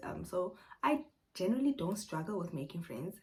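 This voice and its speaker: Her voice is somewhat breathy and sits at a medium pitch. The woman speaks at a moderate pace. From South Africa. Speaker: YouTuber, English teacher in Korea. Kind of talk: casual Q&A vlog. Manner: hesitant, many fillers.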